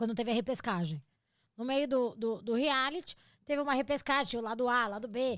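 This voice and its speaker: A woman speaks with a Brazilian accent in an animated tone. The recording is very clean, with a silent background. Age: 40s. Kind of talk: casual chat.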